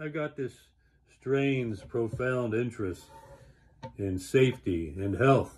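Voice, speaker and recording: This man talks at a fairly slow pace in a somewhat breathy voice. His medium pitch carries lively intonation. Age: 70s. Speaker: health enthusiast vlogger. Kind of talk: casual monologue. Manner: conversational, with fillers.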